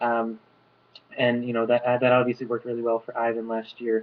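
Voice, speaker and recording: A man speaks at a very fast pace with a medium pitch. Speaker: reality show applicant. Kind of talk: audition video monologue.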